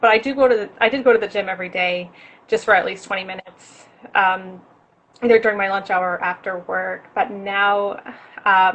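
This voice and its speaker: In an American accent, a woman with a normal speaking voice talks at a moderate pace and medium pitch, her intonation fairly even. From New York, Rockland County. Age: 20s. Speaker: fitness enthusiast. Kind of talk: interview.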